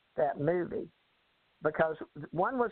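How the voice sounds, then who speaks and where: A woman at a moderate pace in a Southern US accent. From Texas. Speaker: author and life coach. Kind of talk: interview.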